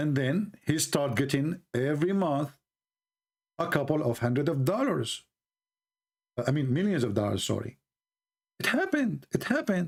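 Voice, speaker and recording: A man in an Arabic accent speaks at a moderate pace with long, frequent pauses. His fairly high voice has lively intonation and very even loudness. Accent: Arab. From Middle East. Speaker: religious debate streamer. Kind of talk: live stream monologue. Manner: sarcastic, joking.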